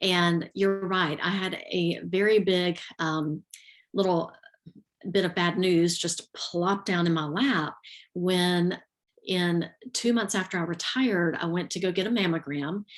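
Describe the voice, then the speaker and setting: Speaking with a Southern US accent, the voice moves at a fairly slow pace with fairly even intonation. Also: woman, fairly low pitch for a woman. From US South, Georgia (south Atlanta area). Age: 50s. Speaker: retired teacher and yoga instructor. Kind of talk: interview testimony. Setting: live video stream.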